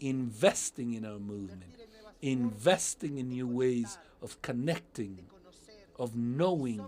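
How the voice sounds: A man's medium-pitched, slightly mellow voice at a fairly slow pace, with lively intonation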